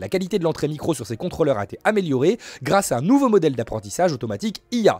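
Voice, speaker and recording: This man talks at a very fast pace with very wide pitch swings. The sound is dry with no echo, and the background is quiet. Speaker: gaming news youtuber. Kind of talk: solo news presentation. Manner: informal, hesitant with filler words and repetitions. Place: home room. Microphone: studio mic.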